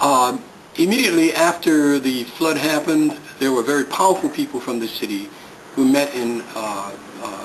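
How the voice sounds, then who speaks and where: Lively intonation from a man at a fairly high pitch and moderate pace, with noticeable background noise. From New Orleans, Louisiana. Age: 60s. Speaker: community resident, Vietnam veteran. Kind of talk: interview. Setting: abandoned house.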